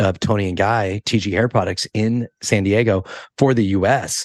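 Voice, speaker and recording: With a West Coast accent, a man talks at a fairly low pitch in a dry, close sound with no echo and a quiet background. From California, Monterey. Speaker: hairdresser and educator. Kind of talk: podcast interview. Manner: casual, many fillers.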